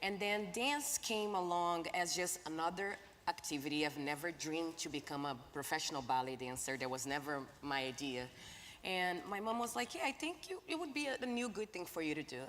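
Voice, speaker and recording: Pitched fairly low, a woman with a Portuguese accent speaks at a fairly quick pace with very wide pitch swings. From Brazil. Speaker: ballet dancer and activist. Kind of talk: panel discussion. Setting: stage with audience.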